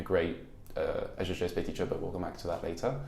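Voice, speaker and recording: A man is speaking. Audible echo hangs in the room. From France. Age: young. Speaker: university student. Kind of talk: interview. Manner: halting.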